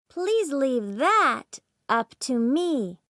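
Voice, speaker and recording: A female-sounding voice does a put-on character at a high pitch with very wide pitch swings. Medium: read story. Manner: earnest, gentle.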